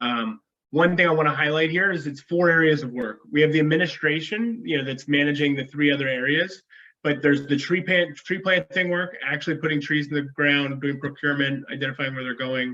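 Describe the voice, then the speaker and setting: The man's pitch is fairly high, with ordinary variation. He speaks at a fairly quick pace. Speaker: conservation finance practitioner. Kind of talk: webinar presentation. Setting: video call. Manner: fast. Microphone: unstable internet connection, froze.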